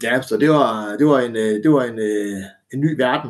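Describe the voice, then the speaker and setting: A man talks with ordinary pitch variation. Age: 30s. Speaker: former pro wrestler. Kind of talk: casual interview. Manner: halting, many fillers and repetitions.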